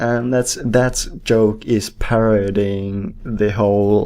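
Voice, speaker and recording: With a Finnish accent, a man at a fairly low pitch speaks very slowly in a dark, mellow, flat monotone. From Finland. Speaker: movie reviewer. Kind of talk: casual unscripted monologue. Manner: hesitant, many fillers.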